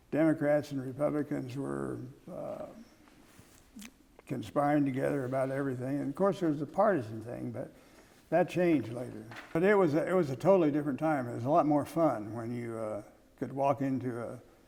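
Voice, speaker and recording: With an American accent, a man speaks fairly quickly in a fairly high voice of dark, mellow tone, showing ordinary pitch variation and leaving long, frequent pauses. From Kansas, USA. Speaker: former journalist, press secretary and chief of staff. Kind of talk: oral history interview answer.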